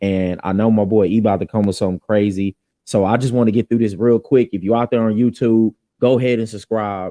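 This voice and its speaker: A man's very fast speech with a Southern accent and a fairly low pitch. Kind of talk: reading aloud scripture; casual faith talk show. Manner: animated.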